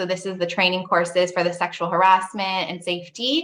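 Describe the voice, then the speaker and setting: This is a woman speaking. Her pitch is medium. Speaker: payroll company representative. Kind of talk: webinar product demo. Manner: fast.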